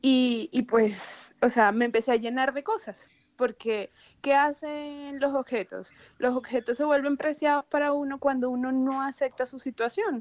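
With a dry, close sound and no echo, a woman speaks fairly slowly at a high pitch. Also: ordinary pitch variation. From Venezuela, Maracaibo. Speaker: guest, Venezuelan migrant, mother. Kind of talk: casual chat. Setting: phone call.

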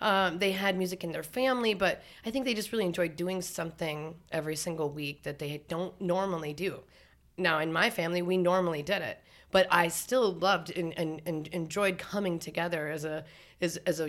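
A woman with an Upper Midwestern accent, fairly low in pitch with ordinary pitch variation, at a fairly quick pace on a very clean recording with a silent background. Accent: Upper Midwestern American. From North Dakota. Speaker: singer-songwriter. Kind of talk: casual chat.

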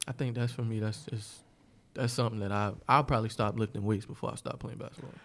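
Talking at a very fast pace, a man with an American accent uses a medium pitch, fairly even intonation and vocal fry. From New York (Bronx), then South Carolina from middle school. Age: 30s. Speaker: DJ. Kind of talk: casual chat.

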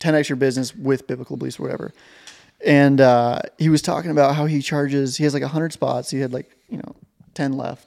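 A man with an American accent talks at a very fast pace. His pitch is fairly high and his intonation fairly even. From southeast Montana. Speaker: podcast host. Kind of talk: casual chat.

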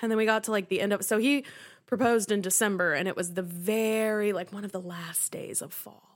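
A woman with an American accent talks fairly quickly in an ordinary speaking voice, her medium pitch held to fairly even intonation. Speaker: guest co-host, host's childhood friend. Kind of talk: casual chat.

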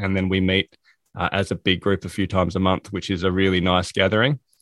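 A man with an Australian accent speaks in a fairly low pitch. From South Australia. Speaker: productivity coach and author. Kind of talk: interview.

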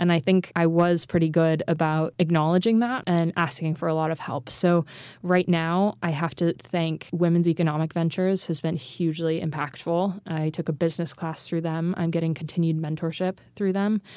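A woman speaks at a moderate pace with hardly any pauses, her pitch fairly low and her intonation fairly even. Her tone is dark and mellow, and the recording is very clean over a silent background. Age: 20s. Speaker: founder and CEO of an ethical goods company. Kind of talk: interview conversation. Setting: studio.

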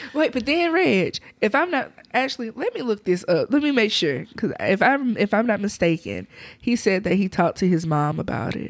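A woman with a Southern US accent, fairly high-pitched with very wide pitch swings, at a moderate pace. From southwest Alabama. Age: 30s. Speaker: podcast co-host. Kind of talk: casual chat. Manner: laughs often.

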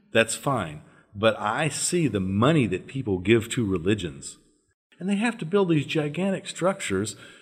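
Over a very clean recording with a silent background, a man with an American accent speaks at a moderate pace and a medium pitch, with vocal fry and very wide pitch swings. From US South, northern Louisiana. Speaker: former religious group member. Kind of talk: casual interview.

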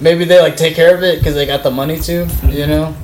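Over noticeable background noise, a man talks loudly at a fairly quick pace. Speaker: podcast host. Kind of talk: casual chat. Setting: studio.

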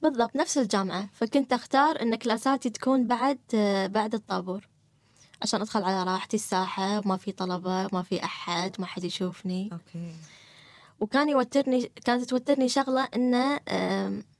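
A woman with a Gulf accent speaks at a moderate pace in a fairly high pitch, with a dry, close sound and no echo. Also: ordinary pitch variation. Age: 30s. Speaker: person sharing experience of social anxiety. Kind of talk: personal testimony in interview. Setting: studio.

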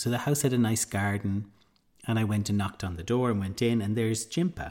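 On a very clean recording with a silent background, a man with an Irish accent speaks at a medium pitch with ordinary pitch variation. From Ireland. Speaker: podcast host, mindfulness teacher. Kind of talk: casual storytelling; guided meditation.

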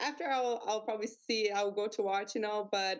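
Here is a woman with an ordinary speaking voice. She talks at a moderate pace, her medium pitch showing ordinary pitch variation. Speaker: MMA fighter. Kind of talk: casual interview. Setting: video call.

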